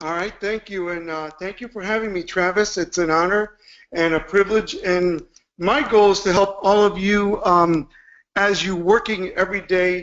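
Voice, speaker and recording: A man with a Spanish accent speaks at a moderate pace, high-pitched, with fairly even intonation. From Cuba, raised in Chicago from age 7. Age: 50s. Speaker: motivational speaker. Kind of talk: motivational webinar talk.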